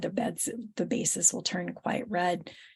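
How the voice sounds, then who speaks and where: A woman's somewhat breathy voice at a fairly slow pace, with ordinary pitch variation. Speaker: webinar presenter on wetland plants. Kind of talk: webinar presentation. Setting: online webinar. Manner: halting, many fillers.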